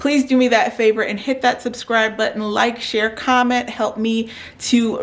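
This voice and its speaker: Noticeable background noise sits behind a woman's fairly high voice. She keeps a moderate pace and fairly even intonation. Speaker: beauty vlogger. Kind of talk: casual vlog talk to camera.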